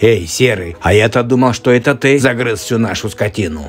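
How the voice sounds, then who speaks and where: With faint music in the background, a man does a cartoonish character voice at a medium pitch and a fairly quick pace. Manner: determined.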